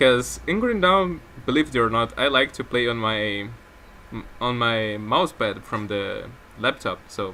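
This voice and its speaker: A man with a non-native accent and lively intonation. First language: not English. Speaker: gaming YouTuber. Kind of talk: gameplay commentary. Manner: casual, rambling with self-corrections.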